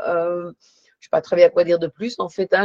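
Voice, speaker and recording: A woman speaking at a medium pitch. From Belgium. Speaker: psychologist and therapy trainer. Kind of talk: panel discussion. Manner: hesitant, many fillers.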